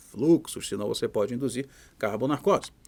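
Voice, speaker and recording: A medium-pitched man with lively intonation, in a very clean recording over a silent background. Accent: Pará. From Brazil, Pará. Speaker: physician lecturer. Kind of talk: lecture. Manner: casual, animated.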